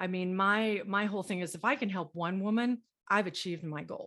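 In an American accent, a woman with an ordinary speaking voice talks at a moderate pace and medium pitch, with ordinary pitch variation over a quiet background. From Texas, Dallas. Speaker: small business owner. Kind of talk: interview. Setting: podcast interview.

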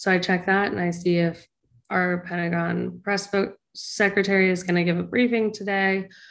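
A woman speaks at a moderate pace with an American accent, her medium-pitched delivery monotone and flat at a very even loudness. The recording is very clean, with a silent background. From Northern Virginia. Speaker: news producer. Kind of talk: interview.

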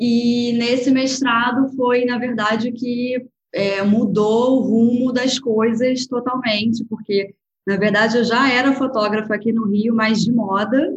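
A woman with a fairly high pitch speaks very slowly, her intonation monotone and flat and her loudness very even. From Brazil, Rio de Janeiro. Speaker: food photographer and agency founder. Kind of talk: interview. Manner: soft, delicate.

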